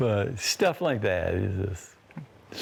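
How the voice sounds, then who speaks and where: A soft-spoken man with a fairly low pitch talks in an Appalachian accent. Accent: Appalachian American. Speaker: painter. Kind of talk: interview.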